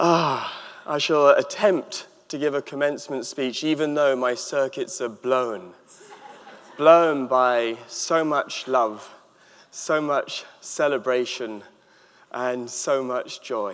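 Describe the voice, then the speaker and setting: With an English accent, a man talks at a very slow pace in a fairly high pitch, his pitch varying in an ordinary way. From England. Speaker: author and happiness expert. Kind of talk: commencement speech. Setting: stage with audience.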